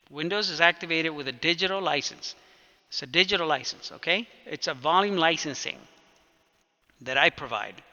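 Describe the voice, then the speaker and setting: Pausing long and often, a man talks at a fairly high pitch with ordinary pitch variation. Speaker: computer technician teaching a client. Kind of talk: one-on-one tutorial. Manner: fast; casual, informal.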